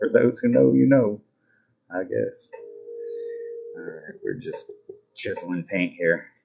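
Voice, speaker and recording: Music plays behind a man with an American accent who speaks at a fairly slow pace. His loudness swings widely, and his pauses are long and frequent. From US Midwest, Nebraska. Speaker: painting instructor. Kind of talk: live painting tutorial. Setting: live stream. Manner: casual, playful.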